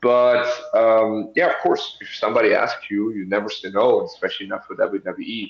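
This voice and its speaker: A man talks at a fairly quick pace. He speaks with a German accent. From Germany. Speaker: professional wrestler. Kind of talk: interview. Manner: halting, with fillers.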